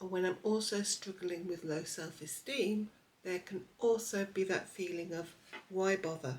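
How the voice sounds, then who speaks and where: A woman talks at a fairly slow pace with a medium pitch and ordinary pitch variation. Hers is an unremarkable speaking voice. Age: 60s. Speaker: lifestyle vlogger. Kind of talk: personal vlog narration.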